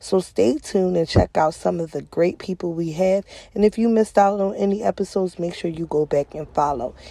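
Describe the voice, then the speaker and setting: A woman with a dark, mellow tone speaks at a fairly quick pace with ordinary pitch variation. The recording is very clean and silent in the background, with a dry, close sound and no echo. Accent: Philadelphia. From Philadelphia, US. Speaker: podcast host. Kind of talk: scripted show intro.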